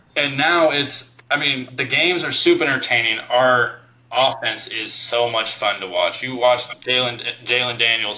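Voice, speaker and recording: There is noticeable background noise behind this man. He talks at a moderate pace and a medium pitch. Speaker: podcast host, former college basketball player. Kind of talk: casual chat.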